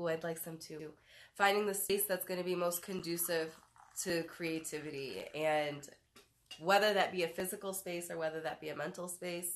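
With an American accent, a woman speaks at a moderate pace in a fairly low, monotone voice with flat intonation. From Detroit, US Midwest. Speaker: talk show host. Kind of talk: casual chat. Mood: relaxed, warm. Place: home room. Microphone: phone near.

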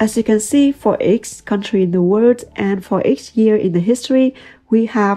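A woman speaks at a moderate pace in a fairly high voice with a dark, mellow tone. Her pitch varies in an ordinary way over a quiet background. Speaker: data science YouTuber and consultant. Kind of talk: tutorial.

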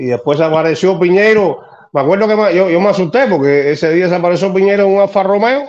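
Over a quiet background, a man with a high pitch speaks at a moderate pace with lively intonation. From Cuba, Havana; Cuba. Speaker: neighbor telling an anecdote; interview guest. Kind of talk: anecdote. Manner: halting. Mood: animated storytelling. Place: home room. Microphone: video call.

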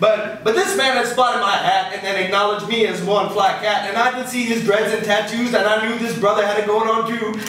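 The speech moves at a fairly quick pace in a monotone, flat delivery. Light background noise and audible room echo sit behind it. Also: man, high pitch for a man. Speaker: poet performing his own poem. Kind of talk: spoken-word poetry performance, rhythmic rhymed storytelling with audience laughter. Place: stage.

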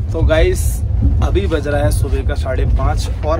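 Over clear music in the background, a man talks with ordinary pitch variation. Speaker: travel vlogger. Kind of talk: casual vlog chat. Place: train. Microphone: phone near.

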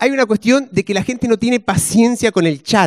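The speaker is a man with a Rioplatense accent. The background is quiet. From Argentina. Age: 40s. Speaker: stand-up comedian. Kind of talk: stand-up comedy set with audience banter. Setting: stage with audience. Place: stage. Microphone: handheld.

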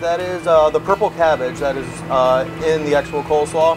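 With clear music in the background, a man talks at a fairly quick pace with ordinary pitch variation. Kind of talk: interview answer. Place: kitchen.

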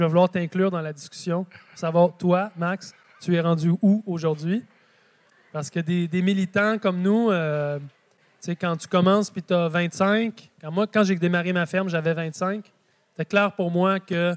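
A man speaks at a fairly slow pace in a high voice, his intonation fairly even. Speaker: speaker. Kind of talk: conference talk. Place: hall.

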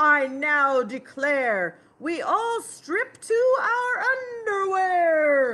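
A woman puts on a character voice at an extremely high pitch. She speaks very slowly, her pitch swinging very widely. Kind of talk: reading a picture book aloud to children. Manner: commanding, declaring.

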